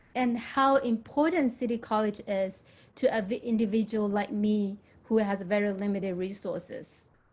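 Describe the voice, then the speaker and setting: A woman's somewhat breathy voice, fairly high-pitched with ordinary pitch variation, at a moderate pace on a very clean recording with a silent background. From Myanmar. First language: Burmese or another language of Myanmar. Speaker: nursing graduate, former community college student. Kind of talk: testimony at a town hall.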